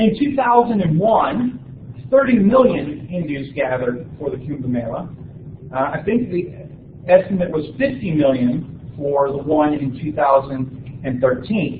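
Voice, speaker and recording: A man with a northern US accent talks at a fairly slow pace. Audible room echo and noticeable background noise fill the recording. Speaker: university lecturer. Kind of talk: lecture. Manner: many filler words (uh, um).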